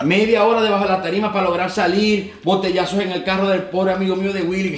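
Amid noticeable background noise and audible room echo, a man with a high pitch talks at a very fast pace with hardly any pauses and fairly even intonation. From Venezuela, Maracaibo (Zulia). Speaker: entertainer and former radio presenter. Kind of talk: casual interview.

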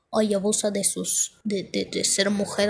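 A woman speaks with a fairly high pitch. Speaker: podcaster. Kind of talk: casual monologue. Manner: halting.

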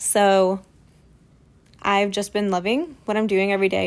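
A woman of medium pitch with a Midwestern US accent, marked by long, frequent pauses. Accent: US Midwest. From rural Ohio. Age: 20s. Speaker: podcaster. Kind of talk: personal monologue.

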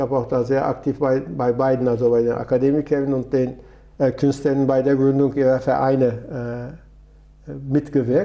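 A man speaks with a Turkish accent in a monotone, flat intonation. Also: medium pitch for a man, moderate pace. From Turkey, Istanbul. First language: Turkish (speaking German). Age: 70s. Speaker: retired trade union official and migrant advocate. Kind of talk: interview.

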